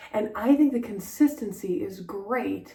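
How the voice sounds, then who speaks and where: A soft-spoken woman talks at a very slow pace. Her intonation is lively. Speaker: style vlogger. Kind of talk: casual vlog talk. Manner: hesitant, many fillers.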